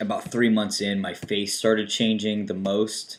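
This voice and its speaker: Man at a fairly slow pace with fairly even intonation. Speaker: video blogger. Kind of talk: casual chat.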